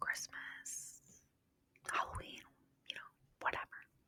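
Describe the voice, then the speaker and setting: A woman whispers in a dry, close sound with no echo. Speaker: podcast host. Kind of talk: ASMR whispered ramble, casual talk to camera. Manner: whispery, rambling, soft.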